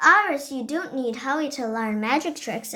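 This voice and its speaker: A woman's high-pitched, put-on character voice at a moderate pace, with lively intonation and big swings in loudness. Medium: read story. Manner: warm, gentle.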